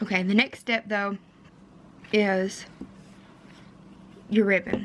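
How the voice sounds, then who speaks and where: The speech moves at a very slow pace. It is delivered in a Kentucky accent with monotone, flat intonation. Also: woman, medium pitch for a woman. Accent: Kentucky twang. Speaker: DIY wedding vlogger. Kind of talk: tutorial. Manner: casual, with fillers.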